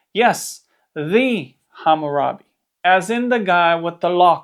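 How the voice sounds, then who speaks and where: A Romanian accent at a very slow pace. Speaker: Bible teacher. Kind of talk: scripted narration.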